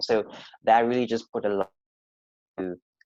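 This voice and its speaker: With a South African accent and monotone, flat intonation, a man speaks at a moderate pace in a dry, close sound with no echo. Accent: sounds South African. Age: 20s. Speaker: podcast guest. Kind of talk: casual chat. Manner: halting.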